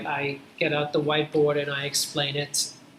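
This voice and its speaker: Noticeable noise sits in the background. Over it, a man talks. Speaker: university lecturer. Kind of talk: lecture. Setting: classroom with students. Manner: slow.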